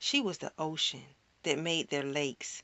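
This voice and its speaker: This woman has an unremarkable speaking voice, using lively intonation at a fairly slow pace. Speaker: spoken word poet. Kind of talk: spoken word poetry performance.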